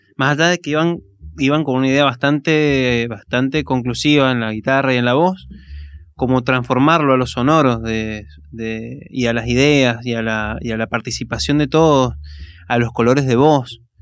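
At a moderate pace and with ordinary pitch variation, an unremarkable speaking voice is heard over a quiet background. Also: man, medium pitch for a man. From Argentina, Mendoza (Maipú). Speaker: musician, singer-songwriter. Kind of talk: casual radio interview. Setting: radio studio, live.

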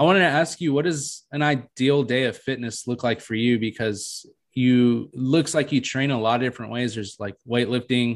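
A man with medium pitch speaks at a moderate pace in an ordinary speaking voice, with ordinary pitch variation. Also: hardly any pauses, quiet background. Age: 20s. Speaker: podcast host. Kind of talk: casual chat.

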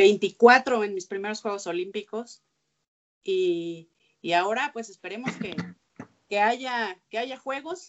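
A woman speaks at a very slow pace. Her speech is broken by long, frequent pauses. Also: medium pitch for a woman, ordinary pitch variation. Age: 30s. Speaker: sports journalist. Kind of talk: interview conversation. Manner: halting with repeated words.

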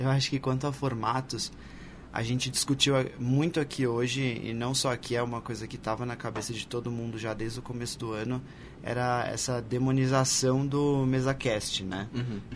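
Audible room echo surrounds a man with medium pitch. His intonation is monotone and flat, and his pace moderate. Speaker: podcaster and advertising professional. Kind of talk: live panel discussion. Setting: stage with audience.

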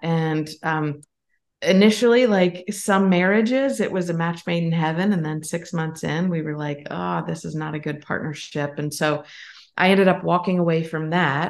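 At a moderate pace and in an American accent, this is a plain, everyday voice with ordinary pitch variation against a quiet background. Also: woman, fairly low pitch for a woman. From Pennsylvania. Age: 50s. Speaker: business co-founder. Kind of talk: interview.

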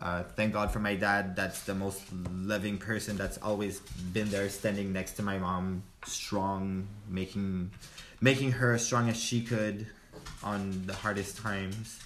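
In a French accent, a man speaks slowly-ish and flatly in a fairly low voice, with music in the background and audible room echo. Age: 20s. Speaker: friend of host. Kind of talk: casual chat.

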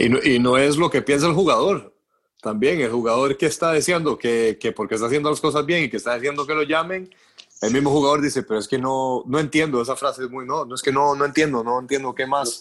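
The words rush out at a very fast pace, with pitch varying in an ordinary way. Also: man, fairly high pitch for a man. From Costa Rica. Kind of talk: casual chat.

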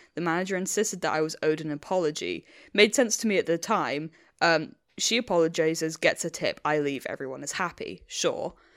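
With an English accent, a woman talks at a fairly quick pace, her pitch fairly low with ordinary variation. The recording is very clean and the background silent. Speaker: podcast host. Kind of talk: casual chat.

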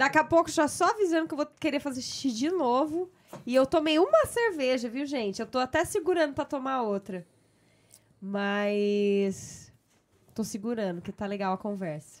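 Speech runs at a moderate pace. Its pitch rises and falls across a very wide range. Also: woman, high pitch for a woman. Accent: Brazilian. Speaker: podcast host. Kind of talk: casual chat.

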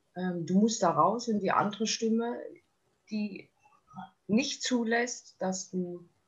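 This is a woman's voice. The variation in her pitch is ordinary. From Thuringia, eastern Germany. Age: 30s. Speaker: eating disorder survivor sharing her story. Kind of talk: interview testimony. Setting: podcast interview.

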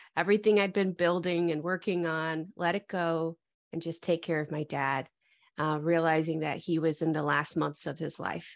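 A woman's unremarkable speaking voice with an American accent, fairly low in pitch, at a fairly slow pace with fairly even intonation over a quiet background. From US Midwest, Metro Detroit. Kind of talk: interview conversation.

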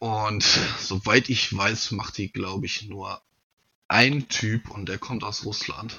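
A man with a fairly low pitch, fairly even intonation and very slow pace. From North Rhine-Westphalia, near Siegen. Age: 30s. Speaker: knife maker. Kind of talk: casual interview.

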